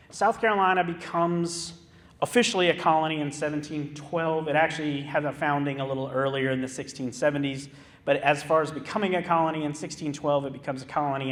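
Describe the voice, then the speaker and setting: A man talks at a very fast pace with a fairly high pitch and ordinary pitch variation. There is audible room echo. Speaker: historic park manager. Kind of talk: lecture. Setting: theater stage with audience.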